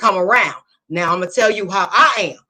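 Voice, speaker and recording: This woman holds a medium pitch while music plays behind her. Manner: same forceful tone and cadence in every setting.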